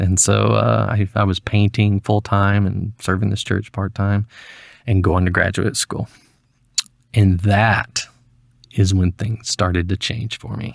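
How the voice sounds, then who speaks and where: In a Southern US accent, a man speaks fairly slowly with a fairly low pitch and fairly even intonation, in a very clean recording with a silent background and a dry, close sound with no echo. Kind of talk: interview answer. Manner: mellow, smooth.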